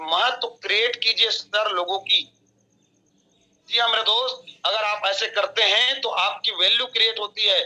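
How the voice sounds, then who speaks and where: A man's bright, sharp voice, raised and projected, pitched high with fairly even intonation. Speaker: network marketing leader. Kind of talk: motivational training talk.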